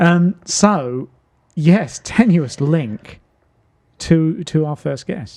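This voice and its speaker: Speaking very slowly with long, frequent pauses, a man uses a high pitch and a southern English accent. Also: lively intonation. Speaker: talk show host. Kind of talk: casual chat.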